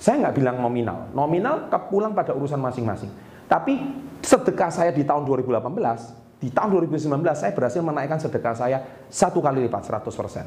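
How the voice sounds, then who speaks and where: Against noticeable background noise, a man with a fairly high pitch speaks at a fairly quick pace. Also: lively intonation. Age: 40s. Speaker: business motivator and YouTuber. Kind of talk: motivational vlog monologue. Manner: enthusiastic.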